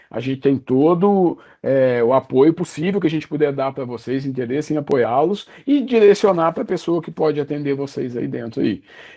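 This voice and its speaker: A man with a Brazilian accent, fairly high-pitched, at a moderate pace with lively intonation and hardly any pauses. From Brazil, Minas Gerais (Juiz de Fora). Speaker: software company executive. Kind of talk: podcast interview.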